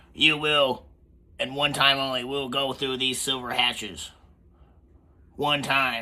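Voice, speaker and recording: Using a booming, raspy put-on character voice at a medium pitch, a man talks fairly slowly in a monotone, flat delivery broken by long, frequent pauses. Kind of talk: barking, formal military. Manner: commanding, booming.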